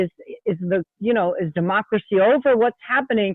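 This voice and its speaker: Lively intonation from a woman at a moderate pace, medium-pitched, in a plain, everyday voice. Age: 60s. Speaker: state representative. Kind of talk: interview. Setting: podcast.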